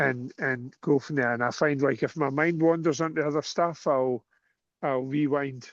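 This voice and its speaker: A fairly high-pitched man with a Scottish accent and fairly even intonation, against a quiet background. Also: moderate pace. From Scotland. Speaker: cue sport coach. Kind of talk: casual chat.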